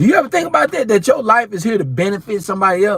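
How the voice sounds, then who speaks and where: This man talks in an animated tone with lively intonation. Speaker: preacher. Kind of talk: sermon. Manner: stuttering.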